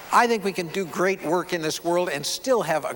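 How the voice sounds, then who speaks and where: There is noticeable background noise behind a man's warm tone. He speaks at a moderate pace. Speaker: keynote speaker and photographer. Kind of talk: keynote speech to an audience. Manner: warm, conversational, engaging.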